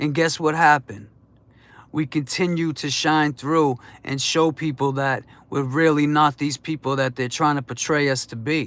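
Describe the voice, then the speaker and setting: A man with a fairly high voice speaks with fairly even intonation on a very clean recording with a silent background. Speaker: livestream host. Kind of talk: casual livestream chat. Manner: slow, deliberate.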